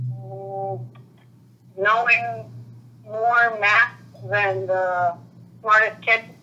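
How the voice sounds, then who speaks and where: Music plays in the background as a woman of medium pitch speaks very slowly. Her pitch swings very widely, with long, frequent pauses. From Puerto Rico. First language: Spanish. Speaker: interviewee. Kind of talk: interview. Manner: halting.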